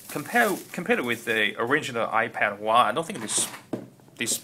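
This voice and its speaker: A man talks at a fairly quick pace with a non-native accent and a medium pitch. Noticeable background noise can be heard. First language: not English. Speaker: tech video creator. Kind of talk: unboxing tutorial. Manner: halting, with repeated words and fillers.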